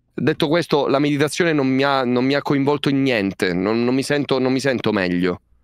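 A man talks at a fairly quick pace with hardly any pauses, ordinary pitch variation and very even loudness, his voice dry with no echo over a quiet background. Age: 20s. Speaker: streamer. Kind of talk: casual chat. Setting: video call. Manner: halting. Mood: joking, mildly exasperated. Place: home room.

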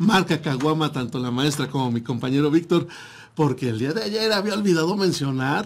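At a moderate pace, a man with a fairly high, somewhat breathy voice uses lively intonation. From Mexico. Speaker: internet radio host. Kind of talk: casual radio talk show. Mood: friendly, jokey. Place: studio. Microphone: studio mic.

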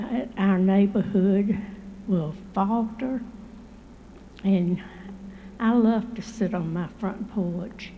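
With a Southern US accent, a woman speaks at a very slow pace and medium pitch amid audible room echo. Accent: Southern US (Georgia). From Columbus, Georgia, US South. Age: 80s+. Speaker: resident. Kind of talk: public comment at council meeting. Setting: city council chamber podium.

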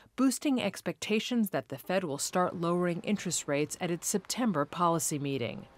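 A woman with a normal speaking voice, fairly low in pitch, at a moderate pace, in a dry, close sound with no echo and a very clean recording over a silent background. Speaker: news reader. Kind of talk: scripted newsreading of market report. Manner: formal, brisk, even-toned.

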